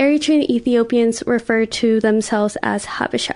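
A woman speaks in an ordinary speaking voice with an American accent. Her pitch is fairly high with ordinary variation, and her pace is fairly slow. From US West Coast, Oakland. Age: 20s. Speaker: podcast guest sharing life story. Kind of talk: personal testimony.

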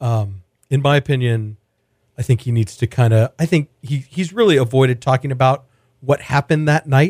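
Speaking with an American accent, a man uses a medium pitch with ordinary pitch variation at a moderate pace. His voice is somewhat breathy, and the sound is dry and close with no echo. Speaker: podcast host and food editor. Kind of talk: casual interview chat. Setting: studio.

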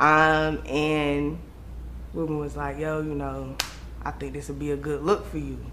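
A woman speaks at a fairly slow pace with long, frequent pauses, and there is audible room echo. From Raleigh, North Carolina. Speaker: rapper. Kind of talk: casual interview.

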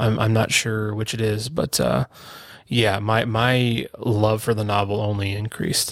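Speaking at a fairly slow pace, a man with a fairly low pitch keeps a fairly even intonation. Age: 30s. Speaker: podcast co-host. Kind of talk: casual chat. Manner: halting, many fillers.

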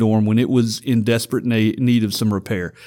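A man speaks in a Louisiana accent with a dark, mellow tone. The recording is very clean, with a silent background. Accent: US Southern (Louisiana). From Louisiana (Vidalia). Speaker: university student activities director. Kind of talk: interview.

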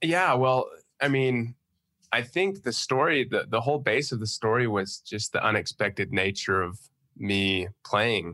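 At a fairly slow pace, a man speaks at medium pitch with a bright, sharp tone and lively intonation, the sound dry and close with no echo over a quiet background. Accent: Western US. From Utah. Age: 20s. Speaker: college football player. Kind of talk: casual interview.

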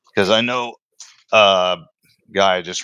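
A man with a very deep, low pitch and a bright, sharp tone speaks with fairly even intonation, the sound dry and close with no echo over a quiet background. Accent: American. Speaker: podcast host. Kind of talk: casual interview.

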